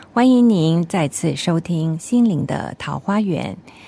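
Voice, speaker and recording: Her tone dark and mellow, a woman speaks at a fairly slow pace with lively intonation. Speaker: radio host. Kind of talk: radio interview.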